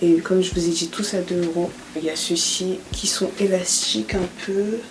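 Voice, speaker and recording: A woman's fairly low voice with fairly even intonation, audible room echo, and noticeable background noise. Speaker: beauty YouTuber. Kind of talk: tutorial. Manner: soft-spoken; casual.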